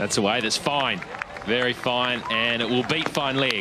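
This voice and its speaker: A man talks at a moderate pace over crowd noise in the background. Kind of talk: live commentary.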